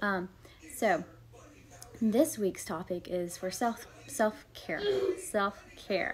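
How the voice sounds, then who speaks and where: Soft-spoken and at a medium pitch, a woman talks at a very slow pace with ordinary pitch variation and long, frequent pauses. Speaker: homeschooling mom and lifestyle livestreamer. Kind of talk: casual livestream talk. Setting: home livestream. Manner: soft-spoken, quiet; conversational with many fillers.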